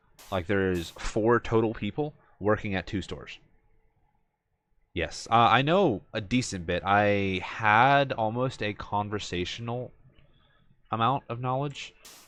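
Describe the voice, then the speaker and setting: Over a quiet background, a man with an American accent talks at a fairly slow pace and a fairly low pitch, using ordinary pitch variation and long, frequent pauses. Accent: American, in his Japanese. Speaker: video game streamer. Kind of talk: casual chat. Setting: live stream. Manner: hesitant, many fillers.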